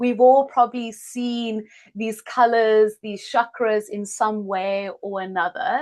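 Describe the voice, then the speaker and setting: A woman speaks very slowly with a South African accent. Her pitch is fairly high, and her loudness swings widely. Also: ordinary pitch variation. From South Africa, Cape Town. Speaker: healer and yoga teacher. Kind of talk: online masterclass introduction.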